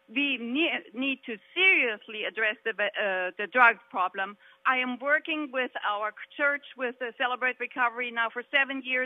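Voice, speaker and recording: A woman speaks at a fairly slow pace. Her voice is high-pitched, with ordinary pitch variation. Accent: German. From Germany. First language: German. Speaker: candidate for state house, businesswoman. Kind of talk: political debate. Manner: animated, emphatic.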